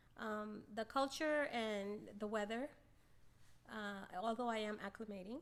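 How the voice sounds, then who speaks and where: A woman with a Spanish accent talks at a fairly slow pace. Her fairly high voice shows ordinary pitch variation. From Miami, South Florida (born in Venezuela). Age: 60s. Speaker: gym member. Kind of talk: casual interview.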